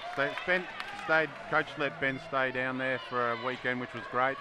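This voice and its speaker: With an Australian accent and fairly even intonation, a man at a medium pitch talks at a fairly quick pace over noticeable background noise. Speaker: player's parent. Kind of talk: casual interview.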